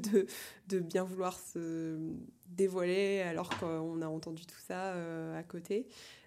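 Very slowly, a woman speaks in a fairly low pitch with a dark, mellow tone. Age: 20s. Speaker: quidditch federation president. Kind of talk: casual chat. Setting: at her home.

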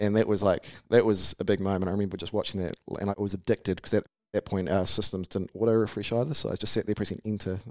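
A man's fairly low voice with a New Zealand accent, very fast and fairly even in intonation, in a very clean, dry, close recording with no echo and a silent background. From New Zealand, Taranaki. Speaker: company founder and CEO. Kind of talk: interview.

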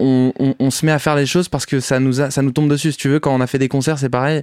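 Very fast and monotone, a man with a fairly high pitch and flat intonation is heard on a very clean, silent recording with a dry, close sound and no echo. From Paris, France. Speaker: musician. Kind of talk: casual interview. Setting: recording studio.

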